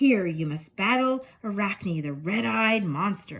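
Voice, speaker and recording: Using a put-on character voice, a woman talks at a fairly slow pace with a medium pitch. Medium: read story.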